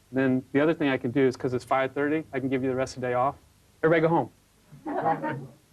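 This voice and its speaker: Over noticeable background noise, a man talks at a very fast pace with monotone, flat intonation. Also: medium pitch for a man. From California. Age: 40s. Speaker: factory owner, business boss. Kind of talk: reality TV documentary talk. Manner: halting, with fillers.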